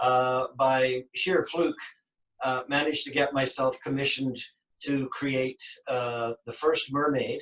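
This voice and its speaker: Speaking very slowly, this man has a western Canadian accent. His intonation is monotone and flat. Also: medium pitch for a man. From western Canada, Vancouver. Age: 60s. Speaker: sculptor. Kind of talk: interview.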